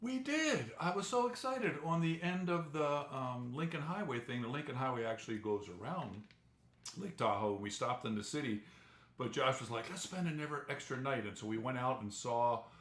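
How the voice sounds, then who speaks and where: With an American accent, a man talks fairly quickly at a medium pitch with lively intonation, and audible room echo surrounds him. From New Jersey. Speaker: travel vlogger. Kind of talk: live stream chat.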